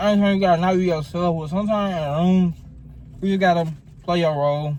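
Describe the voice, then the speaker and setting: Someone talks at a fairly quick pace in a Southern US accent. Pitch variation is ordinary. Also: man. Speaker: YouTuber and fashion student. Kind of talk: casual chat. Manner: mouth full.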